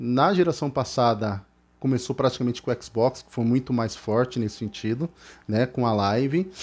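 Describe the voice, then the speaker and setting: A man talks at a moderate pace. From Brazil. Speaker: gaming youtuber. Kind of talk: casual explainer video; casual vlog chat. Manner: halting, filler-heavy. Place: home room. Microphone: headset.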